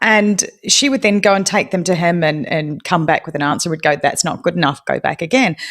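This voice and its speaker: A woman with a New Zealand accent. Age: 40s. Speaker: true-crime podcast host. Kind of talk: interview conversation. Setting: live audio room.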